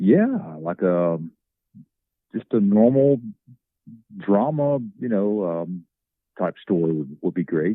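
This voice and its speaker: In a strong Southern accent, a man with fairly low pitch and lively intonation speaks at a very slow pace, leaving long, frequent pauses. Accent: thick Southern. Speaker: actor. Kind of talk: casual chat. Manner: halting.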